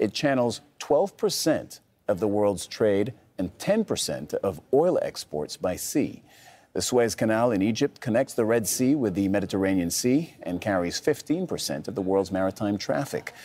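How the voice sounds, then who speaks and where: A man with a dark, mellow tone speaks at a fairly low pitch and a moderate pace, his pitch swinging very widely. The recording is very clean, with a silent background. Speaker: news presenter. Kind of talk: news reading. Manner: formal, brisk and even-toned, headline-style delivery; measured and neutral, steady newsreader pace.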